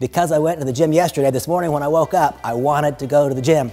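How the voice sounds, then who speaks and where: Backed by music, a man talks at a very fast pace. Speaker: motivational speaker. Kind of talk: motivational talk. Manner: animated.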